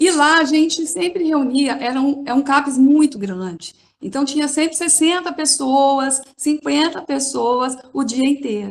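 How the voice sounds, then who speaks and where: At a fairly slow pace with hardly any pauses, a woman with a São Paulo accent speaks at a high pitch with ordinary pitch variation. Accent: São Paulo accent, noticeable. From São Paulo, Brazil. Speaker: occupational therapist. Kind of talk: panel talk.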